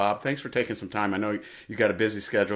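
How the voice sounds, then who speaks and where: On a very clean recording with a silent background, a man with an American accent speaks with a fairly low pitch. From Indiana, US Midwest. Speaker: podcast host. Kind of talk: interview. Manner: halting, many fillers.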